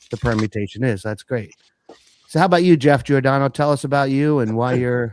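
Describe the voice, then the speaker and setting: Speaking fairly quickly at a medium pitch, a man with a normal speaking voice shows ordinary pitch variation, heard through a dry, close sound with no echo. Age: 60s. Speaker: live stream host. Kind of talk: casual chat.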